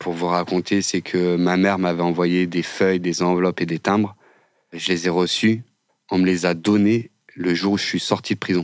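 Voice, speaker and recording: In a very clean recording with a silent background, a man speaks at a moderate pace with very even loudness, a very deep, low pitch and monotone, flat intonation. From northern France suburbs. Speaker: former prisoner, construction business owner. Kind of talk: personal testimony interview. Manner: halting, many fillers.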